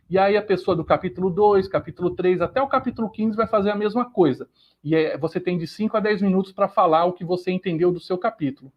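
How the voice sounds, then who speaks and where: This man's high voice races at a very fast clip, its pitch varying in an ordinary way. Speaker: livestream host. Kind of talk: live stream announcements. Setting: YouTube live stream.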